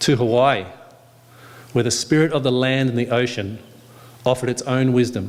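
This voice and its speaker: Speaking with an Australian accent, a man of medium pitch keeps a moderate pace, fairly even intonation and very even loudness, with long, frequent pauses. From Western Australia. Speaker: yoga speaker. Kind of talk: speech at a yoga day event. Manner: calm, reflective.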